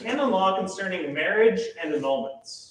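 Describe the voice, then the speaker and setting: Loud and high-pitched, a man speaks at a moderate pace with audible room echo around him. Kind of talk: lecture.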